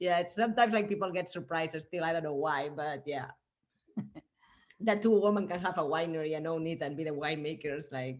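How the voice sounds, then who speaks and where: Fairly quick speech in a Spanish accent, with ordinary pitch variation. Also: woman, fairly low pitch for a woman. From Spain. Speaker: winemaker. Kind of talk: casual interview chat.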